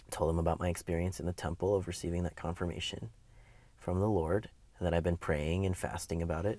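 A man with an American accent speaks in a very deep, low voice with a dark, mellow tone and monotone, flat intonation. His pace is fairly quick, broken by long, frequent pauses. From US Midwest, Wisconsin. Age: 20s. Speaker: interviewee sharing life story. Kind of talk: interview, personal testimony. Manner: hesitant, many fillers.

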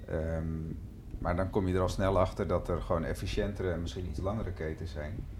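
Audible room echo surrounds a man whose very deep, low voice moves at a fairly quick pace. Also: ordinary pitch variation. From Amstelveen, Netherlands. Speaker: dairy cooperative director. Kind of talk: casual interview.

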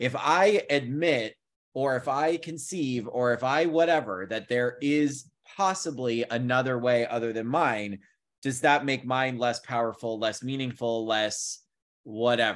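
At a fairly slow pace, a man speaks in a normal speaking voice with medium pitch and ordinary pitch variation. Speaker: podcast host. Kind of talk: casual chat.

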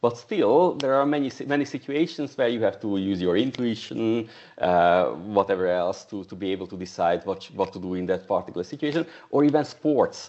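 Lively intonation rides along with a fairly quick tempo. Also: man, medium pitch for a man. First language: not English. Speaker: software testing coach and trainer. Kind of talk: casual chat. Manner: halting.

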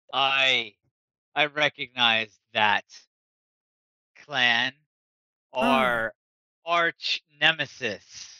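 A put-on character voice moves at a very slow pace, broken by long, frequent pauses. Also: man, medium pitch for a man. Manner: hostile, menacing.

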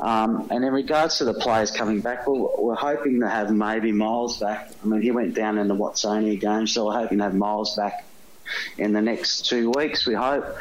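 A man's medium-pitched voice moves at a moderate pace, with fairly even intonation and very even loudness. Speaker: football coach. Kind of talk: interview.

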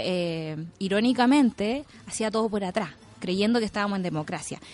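A woman's voice with lively intonation and a Chilean accent. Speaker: radio news panelist. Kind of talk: radio panel discussion.

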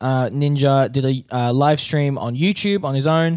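A man talks at a fairly slow pace in a fairly high pitch. His pitch varies in an ordinary way. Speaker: podcast host. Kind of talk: news reading; casual chat. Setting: studio. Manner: news-anchor style delivery.

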